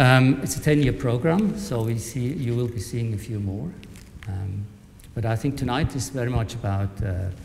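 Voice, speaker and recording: A man at a moderate pace and medium pitch, with noticeable background noise. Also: ordinary pitch variation. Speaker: conversation chair, professor and artist. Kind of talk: panel discussion introduction. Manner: soft-spoken; halting. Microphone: speaking into a microphone, quiet.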